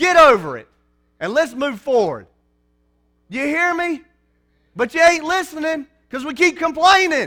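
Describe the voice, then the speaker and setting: A man's raised, projected voice at an extremely high pitch, bright and sharp in tone, with ordinary pitch variation, big swings in loudness, a moderate pace and long, frequent pauses. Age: 30s. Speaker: preacher. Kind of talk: sermon. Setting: church.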